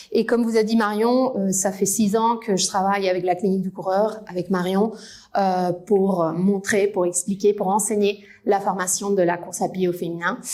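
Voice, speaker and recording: Her voice is dark and mellow, medium in pitch, with a slight Spanish accent. The woman talks at a moderate pace in a monotone, flat delivery. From Spain. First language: Spanish (speaking French). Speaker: physiotherapist and researcher. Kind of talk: conference lecture. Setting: lecture hall with audience.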